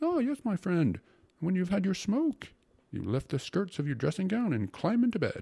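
A man puts on a character voice, high-pitched with a dark, mellow tone, very wide pitch swings, a slightly husky edge and vocal fry, at a moderate pace.

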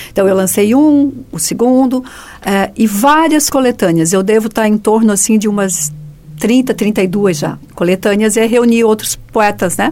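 With a normal speaking voice, a woman speaks fairly slowly and fairly high, her intonation lively and her loudness very even. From Joinville, southern Brazil. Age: 50s. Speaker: writer. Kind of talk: radio interview.

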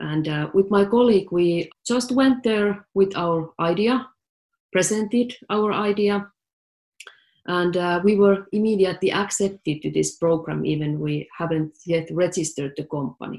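A woman speaks in a Finnish accent with ordinary pitch variation. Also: medium pitch for a woman, moderate pace. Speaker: tech startup CEO. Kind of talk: interview.

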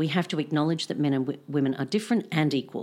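In an Australian accent, a woman speaks with a very deep, low pitch on a very clean recording with a silent background. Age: 40s. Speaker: philosophy professor. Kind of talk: casual interview chat.

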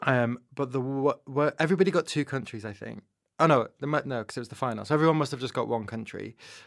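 A man with a Manchester accent at a very fast pace, big swings in loudness, on a very clean recording with a silent background. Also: medium pitch for a man, ordinary pitch variation. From northern England, Manchester. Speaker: broadcast journalist and podcast host. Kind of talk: casual interview.

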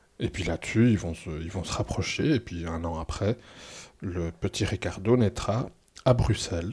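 A man with a very deep, low pitch speaks at a fairly slow pace in a somewhat breathy voice, with ordinary pitch variation and big swings in loudness, on a very clean recording with a silent background. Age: 40s. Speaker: former cult member. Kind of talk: testimony. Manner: halting, many hesitations and repetitions.

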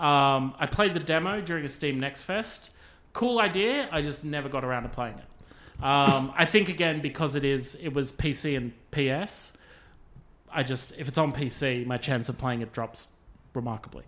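A man speaks with fairly high pitch and ordinary pitch variation. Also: moderate pace. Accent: Australian. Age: 40s. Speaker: podcast host. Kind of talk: casual chat.

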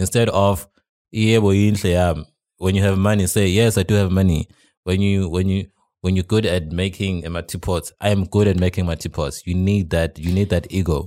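The recording is very clean, with a silent background. A man with a very deep, low pitch speaks at a fairly quick pace in fairly even intonation. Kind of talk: casual chat. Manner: halting, stutters.

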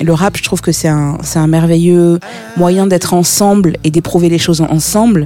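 A woman's fairly low voice at very even loudness, music in the background. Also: fairly even intonation, moderate pace. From Burkina Faso. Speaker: music booker and publisher. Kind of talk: interview. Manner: hesitant, many fillers.

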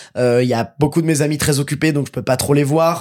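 Speaking in a normal speaking voice, a man talks at a fairly quick pace with a fairly high pitch and fairly even intonation, in a very clean recording with a silent background. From Paris suburbs, Seine-Saint-Denis (Pantin/Aubervilliers). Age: 20s. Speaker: actor and voice dubber. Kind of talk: casual chat.

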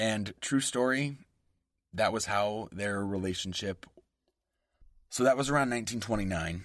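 A man with an American accent at a fairly slow pace, ordinary pitch variation, on a very clean recording with a silent background. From US West Coast. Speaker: podcast host. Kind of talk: scripted narration with casual humor. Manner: animated.

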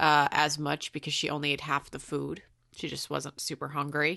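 A woman with an American accent speaks in a very deep, low voice with a bright, sharp tone. The background is quiet. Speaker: podcast co-host. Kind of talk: casual chat.

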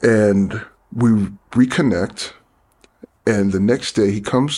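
A man with a New York accent talks at a fairly slow pace. His pitch is fairly low. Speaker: DJ and producer. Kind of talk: casual interview.

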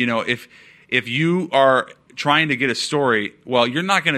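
A man with an American accent and a bright, sharp tone speaks at a moderate pace with ordinary pitch variation against a quiet background. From Seattle, US Pacific Northwest. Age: 30s. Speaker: sports insider. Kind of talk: interview. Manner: casual, halting with repetitions.

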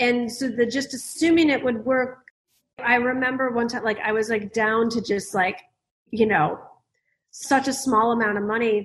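In an American accent, a woman talks at a moderate pace with a fairly high pitch. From US Midwest, Detroit, Michigan. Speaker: business coach and author. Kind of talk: interview. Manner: animated.

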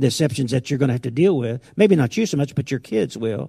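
The voice has a dark, mellow tone and is somewhat breathy, heard in a dry, close sound with no echo. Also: man. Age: 70s. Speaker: pastor. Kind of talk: sermon. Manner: halting.

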